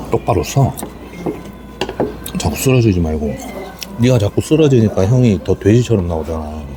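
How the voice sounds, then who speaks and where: A quiet man speaks at a moderate pace with a fairly low pitch and very wide pitch swings. Long, frequent pauses break his speech over noticeable background noise. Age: 40s. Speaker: taxi driver. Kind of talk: casual eating vlog talk to camera.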